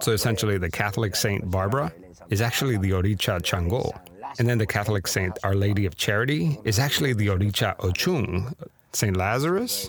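This man's voice is somewhat breathy and fairly low in pitch. His pitch varies in an ordinary way, and his loudness stays very even. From Miami, US. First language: Spanish. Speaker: podcast host. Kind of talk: scripted narration with casual intro.

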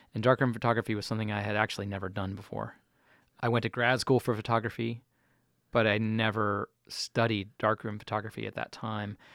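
In a very clean recording with a silent background and a dry, close sound with no echo, a man with an American accent and a normal speaking voice talks at a medium pitch and a fairly quick pace. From Chapel Hill, North Carolina. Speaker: photographer, musician and arts educator. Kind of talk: casual interview.

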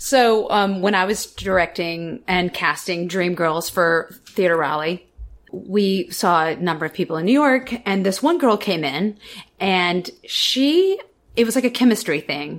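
A woman with an unremarkable speaking voice, medium in pitch, fairly slow, with lively intonation. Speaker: stage actor and director. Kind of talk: interview anecdote.

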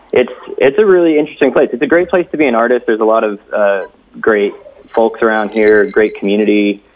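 A man talking at a very fast pace, his loudness very even, over noticeable background noise. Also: medium pitch for a man, lively intonation. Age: 30s. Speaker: filmmaker / camera operator. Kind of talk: casual chat.

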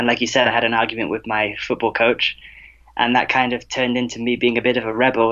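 The man's tone is bright and sharp. He keeps to a moderate speed. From England. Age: 20s. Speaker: tennis coach. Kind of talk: interview conversation.

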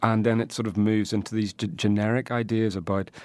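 On a very clean recording with a silent background, a man with a Northern Irish accent talks at a fairly quick pace and a fairly low pitch in a monotone, flat intonation. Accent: Northern Irish (Tyrone). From Northern Ireland. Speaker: poet. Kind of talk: casual chat; poetry reading.

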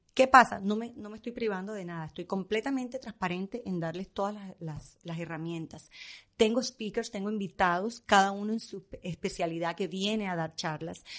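Against a quiet background, a woman speaks at medium pitch with ordinary pitch variation and big swings in loudness. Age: 50s. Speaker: fashion stylist. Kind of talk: casual chat. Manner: fast.

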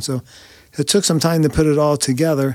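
A man in a normal speaking voice at a fairly quick pace, with fairly even intonation. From Ohio. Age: 60s. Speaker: person living with Parkinson's disease. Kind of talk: interview. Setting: studio.

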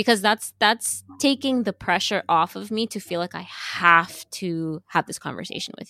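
In an American accent, the voice has a bright, sharp tone, ordinary pitch variation, a moderate pace and big swings in loudness, recorded very cleanly with a silent background and a dry, close sound with no echo. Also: woman, medium pitch for a woman. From New York, Yonkers. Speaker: web developer and voice performer. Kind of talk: casual interview.

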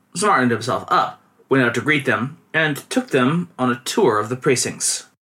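The intonation rises and falls in a lively way. This is reading aloud in a natural voice.

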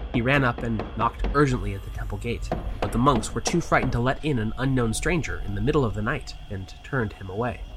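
A man's theatrical delivery at a very fast pace, over noticeable background noise. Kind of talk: scripted narration of a ghost story. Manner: measured, theatrical storyteller pacing.

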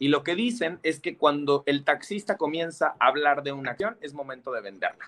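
Man with an ordinary speaking voice, fairly high-pitched, lively intonation, moderate pace and hardly any pauses. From Mexico. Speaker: financial advisor. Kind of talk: casual chat.

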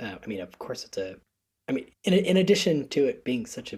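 A man with an American accent and vocal fry, his pitch swinging very widely. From US Northeast, Connecticut. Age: 20s. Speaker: education founder, podcast guest. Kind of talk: casual interview. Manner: halting, many fillers.

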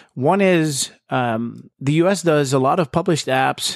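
A man's fairly slow speech in a Dutch accent, with ordinary pitch variation. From Netherlands. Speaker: tech industry expert. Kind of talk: casual interview. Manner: halting, many fillers.

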